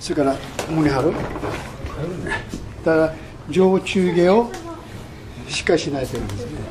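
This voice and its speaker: Speaking at a fairly quick pace yet with long, frequent pauses, a man uses a fairly high pitch and lively intonation against noticeable background noise. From Japan. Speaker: karate master. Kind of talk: interview answer. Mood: warm, smiling. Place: home room.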